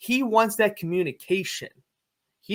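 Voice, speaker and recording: Loud and bright with a sharp tone, this man's voice comes through on a very clean recording with a silent background. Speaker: plumber and online faith content creator. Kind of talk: interview conversation.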